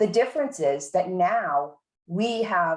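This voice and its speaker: A woman with a Boston accent speaks at a medium pitch and a fairly slow pace. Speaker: university administrator leading faculty meeting. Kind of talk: meeting presentation.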